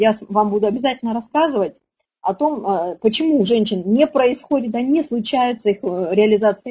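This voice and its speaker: A woman's fairly high, somewhat breathy voice has a dark, mellow tone, ordinary pitch variation and a moderate pace. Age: 40s. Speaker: women's relationship coach. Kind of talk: webinar lecture. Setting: online webinar. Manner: animated.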